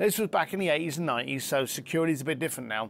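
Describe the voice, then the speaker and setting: In a London accent, a man talks at a fairly quick pace with ordinary pitch variation over light background noise. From East London, England. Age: 50s. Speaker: luxury concierge entrepreneur and author. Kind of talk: interview conversation. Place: garden.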